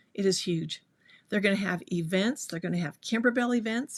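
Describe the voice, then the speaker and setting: Here a woman of medium pitch speaks with a Utah accent. Her voice is somewhat breathy, and the recording is very clean with a silent background. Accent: Utah accent, drops T sounds. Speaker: sewing teacher. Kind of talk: live stream chat. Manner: animated.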